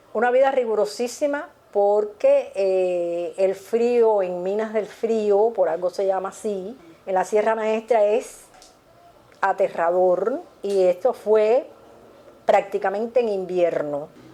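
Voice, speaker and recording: Against noticeable background noise, a woman speaks at a very slow pace and a medium pitch. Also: ordinary pitch variation. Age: 70s. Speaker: retired literacy volunteer teacher. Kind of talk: interview testimony. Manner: hesitant with fillers.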